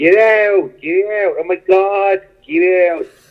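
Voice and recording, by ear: A nasal, put-on character voice with fairly even intonation at a fairly slow pace. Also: man, high pitch for a man. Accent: Philadelphia.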